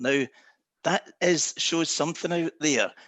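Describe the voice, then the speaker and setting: A man with a Scottish accent speaks at a fairly high pitch. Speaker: travel company executive. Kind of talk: panel discussion.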